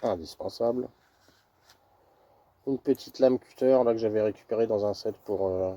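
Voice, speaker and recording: A man speaks quietly at a medium pitch with a dark, mellow tone, leaving long, frequent pauses, in a dry, close sound with no echo. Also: moderate pace. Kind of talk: casual gear presentation to camera. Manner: monotone, quiet.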